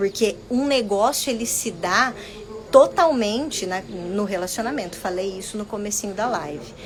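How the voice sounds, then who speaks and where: Noticeable background noise sits behind a woman speaking at a medium pitch. She keeps a moderate pace with ordinary pitch variation. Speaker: business mentor. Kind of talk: live stream talk. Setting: Instagram live video.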